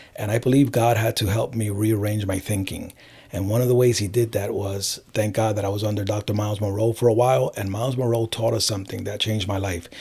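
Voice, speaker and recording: Hardly pausing, a man with an American accent rattles along at a very fast pace in a fairly low pitch with fairly even intonation. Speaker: life coach. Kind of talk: interview.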